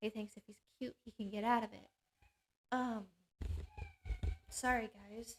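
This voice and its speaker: A woman speaks fairly slowly in a fairly high, somewhat breathy voice, with flat, monotone intonation and long, frequent pauses. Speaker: panel show host. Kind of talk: reading aloud. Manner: halting.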